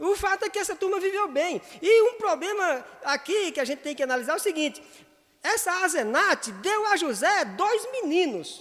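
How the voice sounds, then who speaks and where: An animated delivery with lively, bouncing intonation. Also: man, extremely high pitch for a man, moderate pace. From Northeast Brazil. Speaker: pastor. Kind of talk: sunday school Bible lesson. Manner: firm, emphatic tone that sounds imperative; animated, gets carried away.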